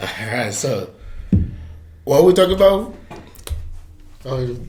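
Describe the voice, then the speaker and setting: A man with an American accent talks at a fairly slow pace and a fairly high pitch, with very wide pitch swings, audible room echo and noticeable background noise. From Liberia. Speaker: interview guest, college student. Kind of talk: casual interview.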